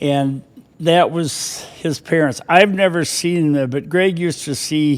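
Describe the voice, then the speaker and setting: Noticeable background noise surrounds a man with an Upper Midwest accent. He speaks at a fairly slow pace with a fairly high pitch. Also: ordinary pitch variation. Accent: Upper Midwest American. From southern Minnesota (Austin). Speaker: retired firefighter and former mayor. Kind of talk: casual interview. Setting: studio. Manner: halting.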